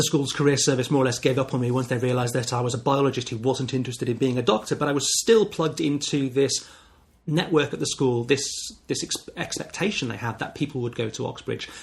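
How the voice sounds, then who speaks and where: A very fast, somewhat breathy delivery with ordinary pitch variation. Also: man, medium pitch for a man. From northern England, Wirral near Liverpool. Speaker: podcast host. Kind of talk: podcast monologue.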